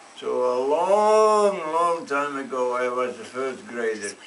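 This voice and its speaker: With a Dutch accent, a man speaks with lively intonation amid audible room echo. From Netherlands. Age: 90s. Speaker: storyteller. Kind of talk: storytelling to children. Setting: classroom.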